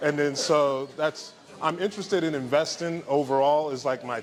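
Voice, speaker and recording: Fairly high in pitch with ordinary variation, a man with a plain, everyday voice moves at a fairly quick pace. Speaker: entrepreneur and investment speaker. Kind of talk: casual talk to a live audience. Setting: event room with small audience. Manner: casual, many fillers.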